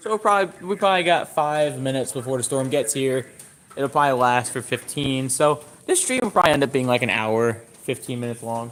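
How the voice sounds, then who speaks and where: A man at a medium pitch, very fast pace and ordinary pitch variation, over noticeable background noise. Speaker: storm chaser live streamer. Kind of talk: live stream commentary. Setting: outdoors on a bicycle. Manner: casual, halting.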